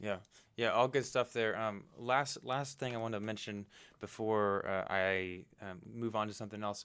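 A man speaks in a normal speaking voice with fairly even intonation. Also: fairly low pitch for a man, moderate pace. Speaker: podcast host. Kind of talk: interview. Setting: remote call.

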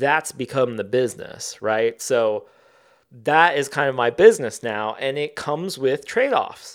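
In an unremarkable speaking voice with an American accent, a man speaks fairly slowly at medium pitch with ordinary pitch variation, in a very clean recording with a silent background. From US Midwest, southern Ohio. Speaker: author and artist. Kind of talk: interview conversation.

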